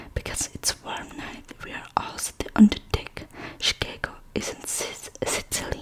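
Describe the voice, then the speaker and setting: A whispering voice moves at a fairly slow pace against noticeable background noise. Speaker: ASMR creator. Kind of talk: ASMR book reading. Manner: whispered.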